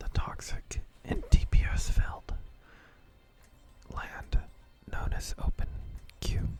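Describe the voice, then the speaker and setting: The speech is whispered. Noticeable background noise is present. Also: man. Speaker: ASMR gaming content creator. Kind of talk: whispered gameplay commentary. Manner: whispered, soft-spoken.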